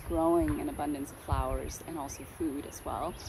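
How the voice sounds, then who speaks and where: A woman with an American accent speaks at a moderate pace in a relaxed tone, with audible room echo and noticeable background noise. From Vietnam (Ho Chi Minh City), then Southern California from age eleven. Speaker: flower grower and homesteader. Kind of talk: casual personal introduction vlog. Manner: frequent filler words, relaxed.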